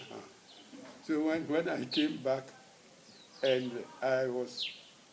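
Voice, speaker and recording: A man at a very slow pace and medium pitch, with fairly even intonation and noticeable background noise. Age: 80s+. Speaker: retired mines manager. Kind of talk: interview answer.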